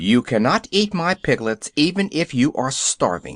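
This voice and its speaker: In a put-on character voice, a man speaks at a moderate pace and fairly high pitch, with very wide pitch swings over a quiet background. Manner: stern.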